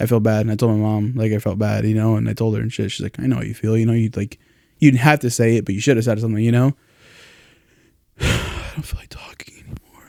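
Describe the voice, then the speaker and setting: Mumbling at a very fast pace, a man speaks at a medium pitch in a dark, mellow tone. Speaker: podcast host. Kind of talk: casual chat.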